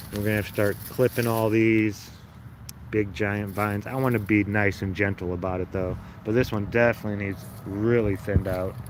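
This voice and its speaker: A speaker with a Chicago accent talks with fairly even intonation over noticeable background noise. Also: man, fairly low pitch for a man, fairly quick pace. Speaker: home gardener livestreamer. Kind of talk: casual livestream chat. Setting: outdoors in garden. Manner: casual, conversational.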